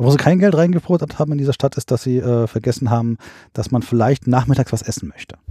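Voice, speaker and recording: Very fast and somewhat breathy, a man speaks at a medium pitch in a dark, mellow tone with ordinary pitch variation. The sound is dry and close with no echo, on a very clean recording with a silent background. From central Germany (Hesse, Bad Hersfeld). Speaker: camper. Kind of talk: casual chat. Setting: in a caravan.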